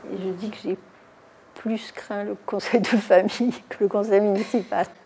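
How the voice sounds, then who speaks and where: Woman's medium-pitched voice, fairly slow and monotone with flat intonation, loudness swinging widely, over noticeable background noise. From Toulon, southern France. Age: 70s. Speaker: mayor. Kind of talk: interview. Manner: hesitant, many fillers.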